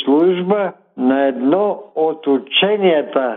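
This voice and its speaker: A man speaks at a very slow pace. His high-pitched voice has lively intonation. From Bulgaria, northwest (Belogradchik area). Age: 90s. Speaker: retired mining engineer and war veteran. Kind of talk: interview.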